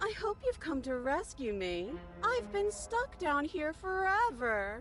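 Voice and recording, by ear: Over clear music in the background, a put-on character voice speaks at a high pitch. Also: fairly slow pace.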